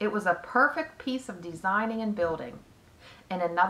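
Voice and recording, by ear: A passage is read aloud in a natural voice.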